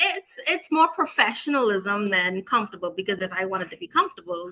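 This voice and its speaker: A woman speaks with a Bahamian accent at a fairly quick pace. Her medium-pitched voice rises and falls in very wide swings. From Bahamas. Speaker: teacher. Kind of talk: interview.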